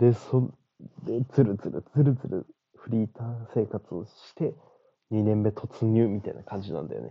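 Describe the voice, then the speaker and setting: With a normal speaking voice, a man of medium pitch talks at a moderate pace, showing ordinary pitch variation and big swings in loudness. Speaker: podcast host. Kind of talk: solo monologue. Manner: casual.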